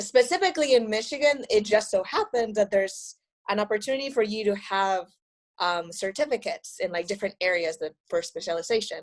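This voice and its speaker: A woman with a Spanish accent talks at a fairly quick pace, her fairly high voice rising and falling in a lively way. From Mexico, Monterrey. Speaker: astronomy graduate student. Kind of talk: podcast interview. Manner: casual, many fillers.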